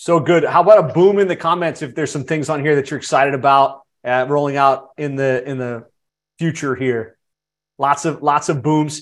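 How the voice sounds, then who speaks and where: This man has an ordinary speaking voice, pitched fairly high. His intonation stays fairly even over a quiet background. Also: moderate pace. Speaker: podcast host. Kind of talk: casual webinar interview. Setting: live online session.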